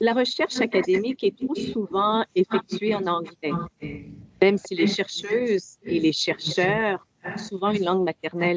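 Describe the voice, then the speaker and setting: Using an ordinary speaking voice, a woman talks at a fairly slow pace and medium pitch with ordinary pitch variation, in a dry, close sound with no echo. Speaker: diplomat. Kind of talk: formal speech. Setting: video link. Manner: formal.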